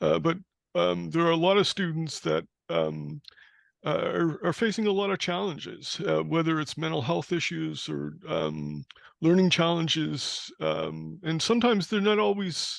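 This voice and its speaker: The man talks at a moderate pace. The background is quiet. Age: 60s. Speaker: community educator. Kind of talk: audience question. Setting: video call. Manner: halting.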